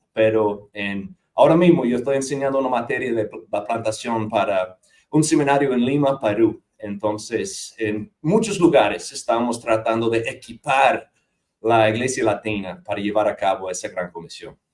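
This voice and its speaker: A man speaks in a Dominican accent at a medium pitch. His pace is moderate and his intonation lively. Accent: American with Dominican Spanish. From US South, north Georgia mountains. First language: English (speaking Spanish). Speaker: missionary church planter and seminary teacher. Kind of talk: interview conversation.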